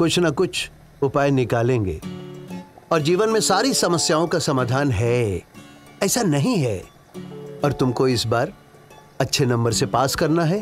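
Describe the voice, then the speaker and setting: A man at a very slow pace with long, frequent pauses, clear music in the background. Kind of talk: scripted drama dialogue, advising. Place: home room.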